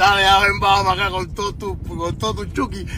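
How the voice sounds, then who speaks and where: A man with a Cuban accent at a moderate pace, with noticeable background noise. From Cuba, Havana. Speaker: musician. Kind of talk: livestream rant. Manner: animated.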